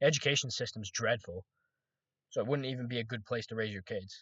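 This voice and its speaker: With a slight Scottish accent, a man speaks at a very fast pace with fairly even intonation. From Scotland. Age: 20s. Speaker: trading vlogger. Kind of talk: casual monologue vlog. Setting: recording to camera. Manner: rambling, hesitant with restarts.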